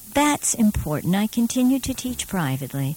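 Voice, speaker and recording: There is a somewhat breathy quality here. The speaker is a woman. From Brooklyn, New York (Borough Park). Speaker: retired theater professor and acting coach. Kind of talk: casual interview.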